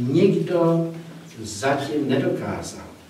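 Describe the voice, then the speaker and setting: A man's voice with ordinary pitch variation, light background noise and audible room echo. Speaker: presenter. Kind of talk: lecture. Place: hall. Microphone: camera far.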